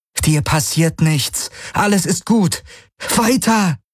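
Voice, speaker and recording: Using a put-on character voice, a man speaks with a high, shaky pitch and lively intonation at a very slow pace. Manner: trembling, urging.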